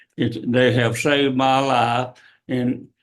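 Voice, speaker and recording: A man with a Tennessee accent talks at a fairly slow pace. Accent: Southern US (Tennessee). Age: 80s+. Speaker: senior center member speaking at public comment. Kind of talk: public comment at city council meeting.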